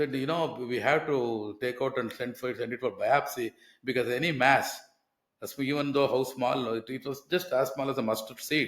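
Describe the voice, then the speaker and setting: With an Indian accent, a man speaks at a moderate pace and medium pitch, keeping his intonation fairly even. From India, Karnataka. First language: Kannada. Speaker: author and client sharing life story. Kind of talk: testimony.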